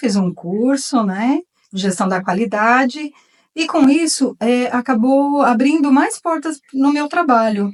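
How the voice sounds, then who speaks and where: A woman speaks at a fairly slow pace in an ordinary speaking voice. Her pitch variation is ordinary. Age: 60s. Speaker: retired artisan. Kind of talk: talk. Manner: informal.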